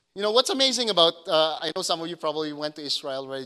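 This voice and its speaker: A man's fairly high, bright, sharp voice at a very fast pace. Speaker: pastor. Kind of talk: sermon.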